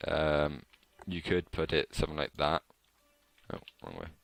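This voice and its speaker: Recorded dry and close with no echo, a man speaks at a moderate pace with a very deep, low pitch and vocal fry. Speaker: game modding tutorial maker. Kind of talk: screen-recorded game editor tutorial. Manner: casual, hesitant.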